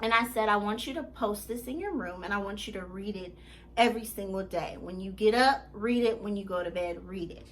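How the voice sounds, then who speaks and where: A woman with an unremarkable speaking voice and medium pitch moves at a fairly quick pace, showing ordinary pitch variation and big swings in loudness. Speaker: life coach. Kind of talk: motivational vlog monologue.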